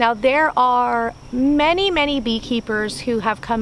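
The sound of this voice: A woman's fairly high, fairly bright voice, fairly slow in pace, with ordinary pitch variation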